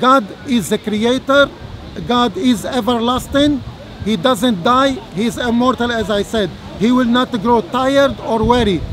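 A man speaks at a fairly slow pace in an extremely high pitch with ordinary pitch variation, his voice dry with no echo over crowd noise in the background. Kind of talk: formal debate. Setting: outdoors. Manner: halting. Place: open country. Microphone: camera far.

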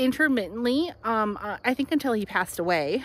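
A woman speaks with lively intonation and a bright, sharp tone. The sound is dry, with no echo. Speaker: local history guide. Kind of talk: casual tour commentary. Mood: cheerful, animated. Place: open country. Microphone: phone near.

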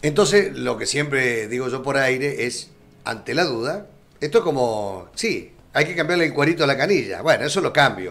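A man talks with vocal fry at a fairly high pitch. His intonation is lively and his pace moderate. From Argentina. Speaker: radio and streaming magazine host; radio, streaming magazine host. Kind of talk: live magazine interview. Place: studio. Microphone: studio mic.

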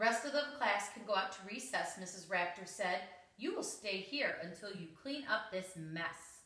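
The speaker reads in a natural reading voice with lively intonation.

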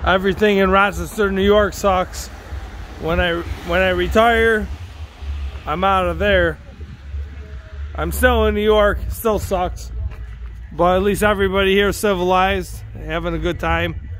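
Over light background noise, a man speaks at a fairly slow pace with long, frequent pauses. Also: dry sound with no echo. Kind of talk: casual vlog chat. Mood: festive yet grumbling. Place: street. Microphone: phone near.

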